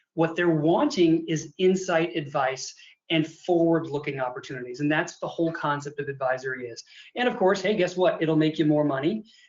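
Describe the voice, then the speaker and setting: Here a man talks with a fairly high voice at a fairly quick pace. His pitch varies in an ordinary way. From US Midwest, Illinois. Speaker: accountant and advisory consultant. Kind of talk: webinar presentation. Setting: video call webinar with screen share. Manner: fast; animated.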